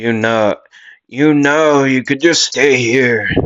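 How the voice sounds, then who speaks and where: Putting on a character voice, a man speaks at a very slow pace with medium pitch. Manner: kindly.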